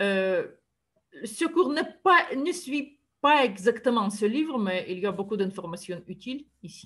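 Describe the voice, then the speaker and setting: A woman with a Russian accent talks at a very slow pace, her fairly high voice moving through very wide pitch swings. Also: big swings in loudness. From Siberia, Russia. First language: Russian (speaking French). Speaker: university math lecturer. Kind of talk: lecture. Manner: halting, with frequent hesitations.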